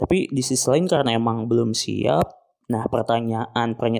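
Here is a normal speaking voice moving at a fairly slow pace. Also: man. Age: 20s. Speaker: podcast host, postgraduate student in Islamic education. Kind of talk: solo reflective monologue. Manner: casual, relaxed.

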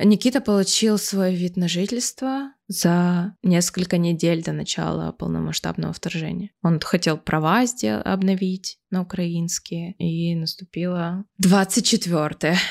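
On a very clean recording with a silent background and a dry, close sound with no echo, a woman speaks fairly low at a very slow pace with hardly any pauses. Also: ordinary pitch variation. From Siberia, Russia. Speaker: podcast co-host. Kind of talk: casual chat.

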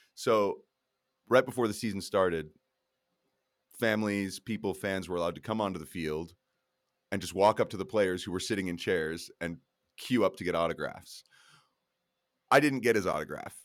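At a moderate pace, a man with an American accent speaks in a fairly low voice with ordinary pitch variation and long, frequent pauses. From Colorado, US. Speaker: youth football coach and podcaster. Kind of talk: casual chat.

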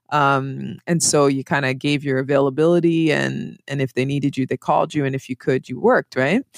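Very deep and low in pitch, a woman with a Canadian accent talks at a fairly quick pace with fairly even intonation. The sound is dry and close, with no echo. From Montreal, Quebec. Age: 40s. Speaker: broadcaster and hip-hop artist. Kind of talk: casual interview. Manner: halting.

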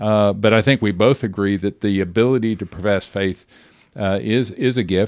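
A man with a plain, everyday voice and fairly low pitch speaks at a moderate pace with fairly even intonation on a very clean recording with a silent background. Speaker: podcast host and pastor. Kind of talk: casual Bible discussion podcast.

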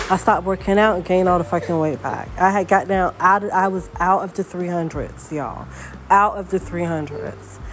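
The woman keeps a moderate pace, with noticeable background noise throughout. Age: 40s. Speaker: solo podcaster. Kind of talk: rant monologue.

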